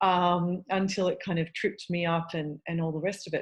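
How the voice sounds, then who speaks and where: This woman's voice is fairly low-pitched and somewhat breathy, at a moderate pace. The background is quiet. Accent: Australian. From Australia. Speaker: eating disorder dietitian. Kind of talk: podcast interview.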